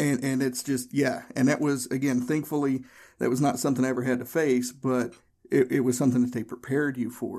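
Speaking at a fairly quick pace, a man has a medium-pitched voice with a dark, mellow tone. His intonation is monotone and flat. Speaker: podcast host, former Marine. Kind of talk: interview podcast. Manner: loud.

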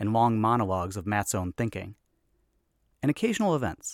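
A man's medium-pitched voice at a fairly quick pace, lively in intonation, with a dry, close sound and no echo. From US, Chicago. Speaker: podcast host. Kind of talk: scripted narration; interview.

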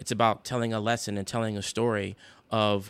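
A man with an American accent talks in an ordinary speaking voice, fairly low in pitch and at a fairly quick pace. The recording is very clean, with a silent background. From South Carolina. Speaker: sports team marketing director. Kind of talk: interview.

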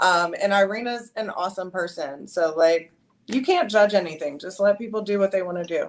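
A woman with an American accent and a plain, everyday voice talks at a fairly quick pace and medium pitch, with ordinary pitch variation. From US South, South Carolina. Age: 30s. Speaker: fashion model. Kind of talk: interview. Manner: casual, filler-heavy.

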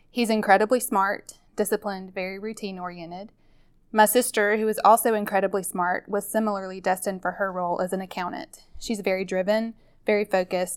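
On a very clean recording with a silent background, a woman with a Southern US accent speaks at a medium pitch and a fairly quick pace, her intonation fairly even. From Mississippi, US South. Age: 30s. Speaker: nurse. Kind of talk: personal testimony narration.

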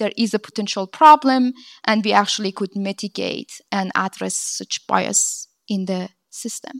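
A fairly high-pitched woman's voice with a non-native accent, ordinary pitch variation and a moderate pace, dry and close with no echo. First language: not English. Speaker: venture capital impact lead. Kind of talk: conference panel discussion. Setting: stage with audience.

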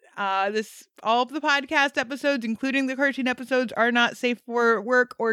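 A woman with a high pitch and a bright, sharp tone speaks with ordinary pitch variation in a dry, close sound with no echo, recorded very cleanly over a silent background. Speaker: podcast host. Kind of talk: casual chat. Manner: fast.

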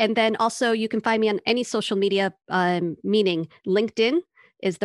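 Using a normal speaking voice, a woman talks at a moderate pace with ordinary pitch variation, in a dry, close sound with no echo and a quiet background. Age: 30s. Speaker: therapist and burnout educator. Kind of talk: casual chat.

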